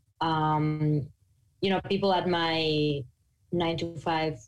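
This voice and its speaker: A woman with a Mexican accent speaks at a very slow pace and a fairly low pitch, with fairly even intonation. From Mexico. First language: Spanish. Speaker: podcaster on non-monogamy. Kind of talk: interview conversation. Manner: articulate.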